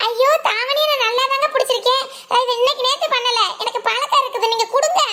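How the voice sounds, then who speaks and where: The cartoonish character voice keeps a fairly even intonation. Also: woman, extremely high pitch for a woman, moderate pace. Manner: plaintive, earnest.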